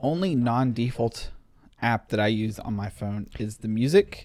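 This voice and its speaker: A man mumbles at a fairly quick pace. His pitch is medium, with ordinary variation. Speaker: tech podcast co-host. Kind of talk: casual chat. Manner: mumbling.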